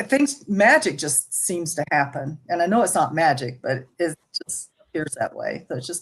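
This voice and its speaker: A somewhat breathy woman with an American accent speaks at a fairly low pitch. Her pitch swings very widely and her loudness rises and falls sharply. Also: moderate pace. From US South, Jackson, Mississippi. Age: 70s. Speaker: ministry guest. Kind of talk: testimony.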